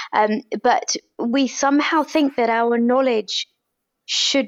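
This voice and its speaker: This woman has a British accent. Her pitch is high. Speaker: doctor and author. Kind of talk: interview about personal illness. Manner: passionate, strong.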